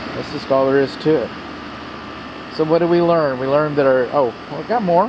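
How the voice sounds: A man's fairly high voice with an American accent, at a moderate pace with ordinary pitch variation, over clear background noise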